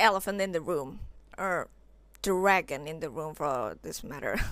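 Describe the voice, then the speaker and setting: A woman with an Indonesian accent has a bright, sharp tone, and the recording is very clean with a silent background. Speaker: vintage fashion vlogger. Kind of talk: casual vlog talk. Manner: animated.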